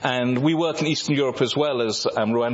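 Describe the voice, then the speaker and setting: A man talking very fast over noticeable background noise. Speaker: visiting mission speaker. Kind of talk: talk with slides.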